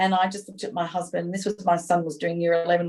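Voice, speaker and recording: A woman with an Australian accent speaks at a very fast pace in a medium pitch. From Australia, Sydney. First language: not English. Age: 50s. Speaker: small business owner, former advertising executive. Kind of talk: podcast interview.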